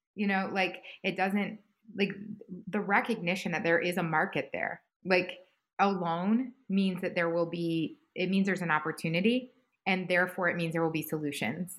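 A woman with an ordinary speaking voice talks at a moderate pace and medium pitch with fairly even intonation, on a very clean recording with a silent background. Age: 40s. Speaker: head of a food industry innovation hub. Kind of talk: interview.

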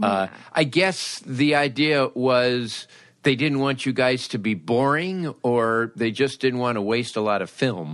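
This man has a normal speaking voice at medium pitch, in an American accent. He talks at a fairly slow pace with lively intonation. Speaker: podcast host. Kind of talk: casual interview chat.

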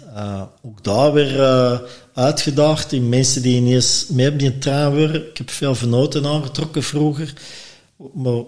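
A man with an unremarkable speaking voice talks at a moderate pace, keeping a medium pitch and fairly even intonation. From Belgium, Antwerp. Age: 50s. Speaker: former restaurant owner, brewer. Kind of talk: casual chat.

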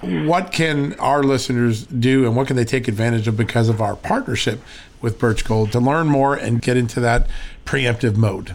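A plain, everyday voice with an American accent speaks at a moderate pace, with ordinary pitch variation and very even loudness. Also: man, medium pitch for a man. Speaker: podcast host. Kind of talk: interview with ad reads.

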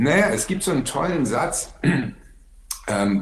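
Audible room echo surrounds the recording. A man talks with a lively, varied intonation. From Berlin. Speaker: actor. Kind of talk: casual chat.

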